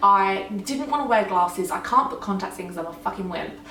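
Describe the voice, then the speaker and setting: A woman at a medium pitch and fairly quick pace, her pitch swinging very widely, with audible room echo and noticeable background noise. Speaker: law of attraction vlogger. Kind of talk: casual Q&A vlog.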